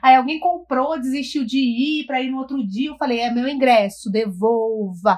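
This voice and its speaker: This woman's voice sits high, with ordinary pitch variation and big swings in loudness. She keeps a moderate pace and hardly pauses at all. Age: 30s. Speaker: returning podcast guest. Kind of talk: casual chat.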